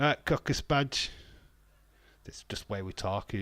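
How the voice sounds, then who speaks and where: Someone with a strong Yorkshire accent speaks at a very slow pace, with a dry, close sound with no echo on a very clean recording with a silent background. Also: man. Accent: thick Yorkshire. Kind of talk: casual, slangy.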